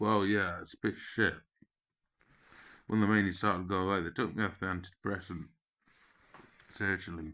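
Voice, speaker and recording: With an English accent, a man speaks fairly quickly at a very deep, low pitch in a bright, sharp tone, leaving long, frequent pauses. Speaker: vlogger. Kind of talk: personal monologue. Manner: animated.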